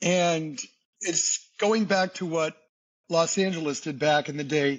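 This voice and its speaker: A man with a Boston accent. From US Northeast, Boston. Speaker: singer and entertainer. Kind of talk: podcast interview. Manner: animated.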